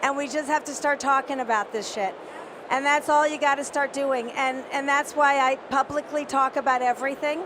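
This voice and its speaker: A woman speaks in a high pitch with an animated tone. Noticeable noise sits in the background. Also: moderate pace. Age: 60s. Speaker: CEO and panelist. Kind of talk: panel discussion. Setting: conference stage with audience.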